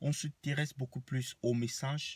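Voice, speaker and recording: A somewhat breathy man's voice at a medium pitch, very slow in pace, with ordinary pitch variation and a dry, close sound with no echo. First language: Banen (speaking French). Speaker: vlogger. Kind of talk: rant to camera. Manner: animated.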